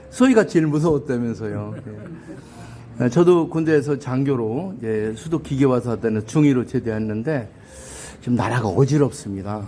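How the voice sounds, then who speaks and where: At a moderate pace and medium pitch, a man talks with ordinary pitch variation in an ordinary speaking voice. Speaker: YouTube interviewer, ex-army officer. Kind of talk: interview. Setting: hotel. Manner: formal.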